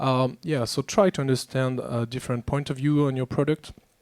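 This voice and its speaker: A man with a French accent speaks at a moderate pace and medium pitch, his intonation fairly even, in a dry, close sound with no echo. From France. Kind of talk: panel discussion. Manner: halting.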